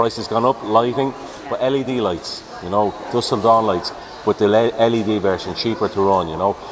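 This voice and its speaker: With noticeable background noise behind him, a man talks at a fairly quick pace and medium pitch with fairly even intonation. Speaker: police officer. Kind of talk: live event interview. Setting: outdoor show tent.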